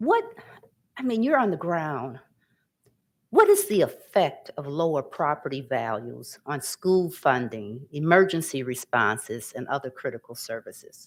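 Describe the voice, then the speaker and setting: A very clean recording with a silent background, in an American accent at a fairly slow pace. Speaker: panel moderator. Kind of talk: panel discussion.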